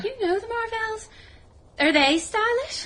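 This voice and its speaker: Squeaky, put-on character voice of a woman, extremely high in pitch, with lively intonation at a fairly slow pace. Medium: audio drama. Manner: imperious, petulant.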